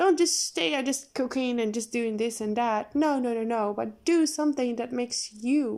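A woman's high-pitched voice with a dark, mellow tone at a fairly slow pace. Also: very clean recording, silent background. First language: not English. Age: 20s. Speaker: podcast host. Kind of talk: casual monologue. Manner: halting.

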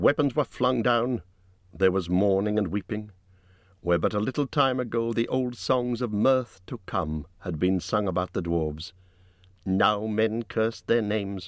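Against a quiet background, a man with an ordinary speaking voice and a fairly low pitch talks at a fairly slow pace with ordinary pitch variation. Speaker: audiobook narrator. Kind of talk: dramatic audiobook narration of a dragon attack on a burning town.

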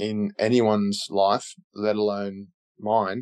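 Recorded with a dry, close sound and no echo, a man speaks in an Australian accent. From Australia (Canberra). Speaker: retired professional footballer. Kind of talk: interview.

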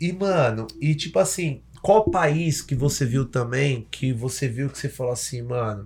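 Amid noticeable background noise, a man speaks at a fairly slow pace with hardly any pauses, his medium pitch carrying lively intonation. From Salvador, Bahia, Brazil. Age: 30s. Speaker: podcast host. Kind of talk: casual chat. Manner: animated.

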